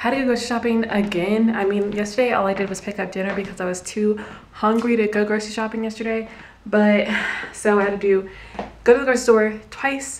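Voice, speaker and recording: A woman talks at a moderate speed, her intonation fairly even, with light noise in the background. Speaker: vlogger. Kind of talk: casual vlog chat. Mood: mildly exasperated, chatty. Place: home room. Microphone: phone near.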